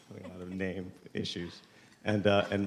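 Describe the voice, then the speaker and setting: The man's voice sits at a fairly low pitch. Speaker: panel moderator. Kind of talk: panel introduction. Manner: loud.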